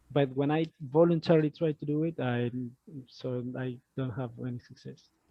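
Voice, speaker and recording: Speaking at a moderate pace, the man holds a medium pitch and fairly even intonation. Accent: non-native. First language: Spanish. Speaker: discussion group member. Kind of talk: casual group discussion. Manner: halting, many fillers.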